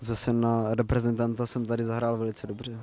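The man's voice has a dark, mellow tone at a medium pitch. His intonation stays monotone and flat.

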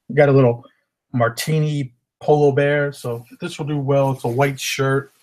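In a monotone, flat intonation, a man speaks at a moderate pace. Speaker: reseller showing haul. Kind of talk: casual vlog chat. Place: home room. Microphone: webcam.

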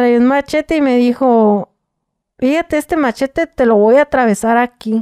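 Over a quiet background, a woman with a high pitch and dark, mellow tone talks at a moderate pace, her loudness very even and her pitch varying in an ordinary way. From Mexico, Tijuana; Mexico. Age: 30s. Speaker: former prisoner telling her story. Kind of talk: interview testimony. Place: studio. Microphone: studio mic.

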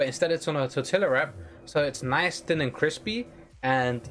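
Faint music plays in the background as a man talks at a fairly quick pace. His fairly high voice shows ordinary pitch variation. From UK. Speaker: gaming streamer. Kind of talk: casual livestream chat. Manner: casual, chatty. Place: home room.

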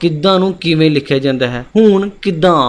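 Here a man has an ordinary speaking voice. It sits at a fairly high pitch with ordinary pitch variation. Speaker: exam-prep teacher. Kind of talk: educational lecture.

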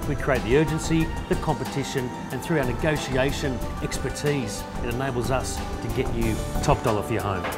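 Loud music plays in the background as a man speaks at a fairly quick pace. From Australia. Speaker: real estate agent and auctioneer. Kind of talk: corporate agent profile talk to camera. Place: office.

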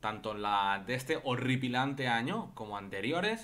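Bright and sharp in tone, a man talks at a fairly slow speed. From Barcelona, Spain; Spain. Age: 30s. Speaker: football YouTuber. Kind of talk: casual vlog commentary. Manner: animated. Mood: disapproving, mocking. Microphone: studio mic.

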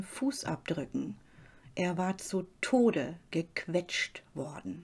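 On a very clean recording with a silent background, a woman speaks at a very slow pace, somewhat breathy, in a dark, mellow tone that is calm and dramatic. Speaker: true-crime channel host. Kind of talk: true-crime narration. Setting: studio, solo voiceover. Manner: calm, measured storytelling pace; slightly dramatic, suspenseful and serious tone.

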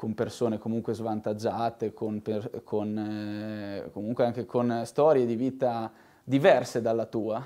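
A man talks at a fairly slow pace with a dark, mellow tone and fairly even intonation over a quiet background. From Italy, Rimini; Italy. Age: 20s. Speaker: assistant waste-collection coordinator. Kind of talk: interview. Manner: halting, many repetitions. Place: office.

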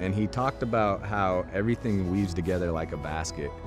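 A man talks with a very deep, low pitch, and the sound is dry with no echo. Clear music plays in the background. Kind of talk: interview answer. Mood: calm, reflective. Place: waterside. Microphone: lapel.

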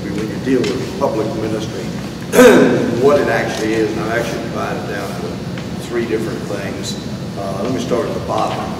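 A man is speaking in a space with audible room echo. Loud background noise runs underneath. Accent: American. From Florida, USA. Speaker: Baptist street preacher and Bible teacher. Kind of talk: sermon-style talk answering objections. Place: hall. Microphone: camera far.

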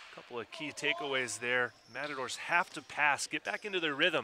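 Amid noticeable background noise, a man with a fairly high pitch talks at a moderate pace. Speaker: volleyball commentator. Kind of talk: live sports commentary. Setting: live broadcast from a tournament venue.

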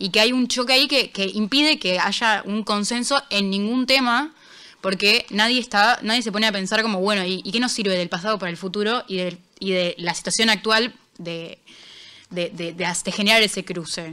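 Her tone is bright and sharp. The woman speaks at a medium pitch. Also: ordinary pitch variation, moderate pace. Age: 20s. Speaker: international news columnist. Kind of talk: casual interview chat. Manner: halting, many fillers.

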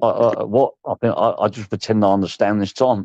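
In a dry, close recording with no echo, a man talks at a fairly quick pace with fairly low pitch, fairly even intonation and a slightly mellow tone.

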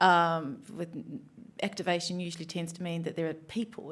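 A woman with an Australian accent speaks at a fairly low pitch with monotone, flat intonation against a quiet background. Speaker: panel chair. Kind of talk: panel moderation. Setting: stage with audience. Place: stage. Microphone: studio mic.

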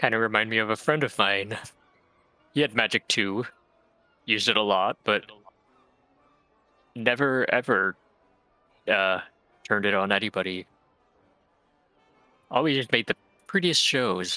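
Using a put-on character voice at a medium pitch, a man talks at a moderate pace with long, frequent pauses while music plays in the background. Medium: actual play. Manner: warm, chatty, easygoing.

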